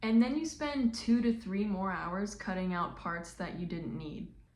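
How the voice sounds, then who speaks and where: A woman's voice swings very widely in pitch, with audible echo from the room. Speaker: artist and content creator. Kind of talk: casual vlog rant. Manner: halting, many pauses.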